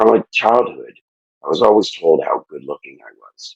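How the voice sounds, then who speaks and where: The pace of this man's speech is moderate. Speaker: podcast guest, fitness challenge winner. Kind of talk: emotional interview testimony. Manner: halting, many fillers and restarts; quiet.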